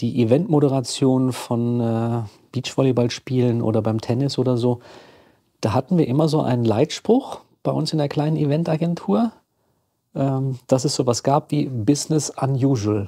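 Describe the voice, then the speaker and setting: His tone dark and mellow, a man speaks with ordinary pitch variation. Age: 50s. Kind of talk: casual chat.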